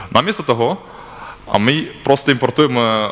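This man's speech keeps a moderate pace and ordinary pitch variation. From Belarus. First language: not Slovak (speaking Slovak). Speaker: software developer. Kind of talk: conference talk. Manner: halting. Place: hall.

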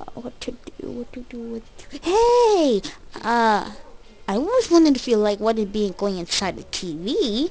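A cartoonish, female-sounding character voice, fairly high in pitch and very slow. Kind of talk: comic cartoon voice acting. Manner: whiny, exclaiming, impatient.

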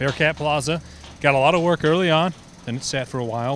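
A man's fast, fairly bright-toned voice with fairly even intonation

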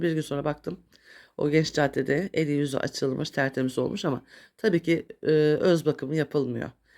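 The speaker talks at a fairly quick pace with ordinary pitch variation, on a very clean recording with a silent background. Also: woman. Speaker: YouTuber. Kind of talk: casual vlog monologue. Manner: halting, many filler sounds.

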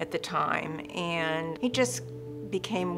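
With clear music playing behind her, a woman speaks at a very deep, low pitch. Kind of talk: interview answer. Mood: somber, reflective. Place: studio.

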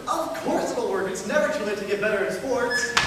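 Strong room echo fills the recording. Light background noise is present. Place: stage. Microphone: camera far.

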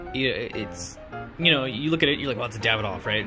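Clear music is heard in the background. Over it, a man talks. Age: 20s. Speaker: cigar reviewer. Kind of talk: casual talk to camera. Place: garden. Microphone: phone near.

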